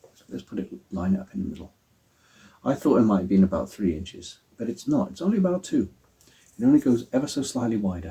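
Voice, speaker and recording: Speaking very fast at a medium pitch, a man with an English accent has a dark, mellow, somewhat breathy tone, very wide pitch swings, big swings in loudness and long, frequent pauses. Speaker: prop maker and cosplay vlogger. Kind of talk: tutorial. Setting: at home. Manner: soft-spoken; halting.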